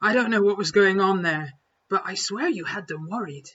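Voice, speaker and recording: A female-sounding put-on character voice comes at a moderate pace and medium pitch. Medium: read story.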